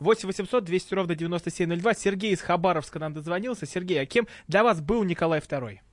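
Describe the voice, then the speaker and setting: Against a quiet background, the speaker moves at a moderate pace with ordinary pitch variation. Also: man, high pitch for a man. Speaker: radio host. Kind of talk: radio talk show hosting. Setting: studio. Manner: halting.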